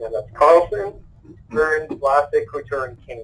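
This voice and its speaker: A man keeps to a moderate pace while music plays behind him. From Quebec, Montreal. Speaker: real estate investor. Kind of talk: podcast interview.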